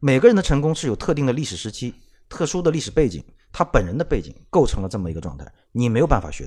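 On a very clean recording with a silent background, a man of medium pitch speaks at a very fast pace in a dark, mellow tone, with vocal fry, very wide pitch swings and big swings in loudness. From Shanghai, China. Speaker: podcast co-host, former car magazine editor. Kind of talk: casual chat.

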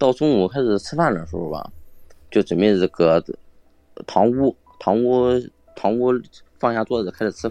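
Using lively intonation and a medium pitch, a man talks at a moderate pace with long, frequent pauses, in a dry, close sound with no echo. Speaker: guest storyteller. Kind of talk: casual storytelling. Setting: live online voice call. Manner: halting, repetitive.

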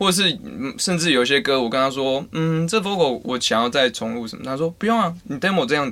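Talking at a very fast pace, a man with a Taiwanese accent uses lively intonation in a fairly high voice. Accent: Taiwanese Mandarin. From Taiwan, Taichung. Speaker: podcast host. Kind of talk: casual chat.

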